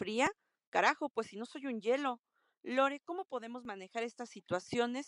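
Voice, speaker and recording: A high-pitched woman with lively intonation and big swings in loudness, in a dry, close sound with no echo. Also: moderate pace. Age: 30s. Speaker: listener sending a voice question. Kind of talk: recorded voice message.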